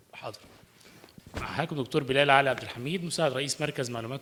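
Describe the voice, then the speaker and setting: A man with an Arabic accent, medium in pitch, with ordinary pitch variation. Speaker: climate researcher. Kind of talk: panel presentation.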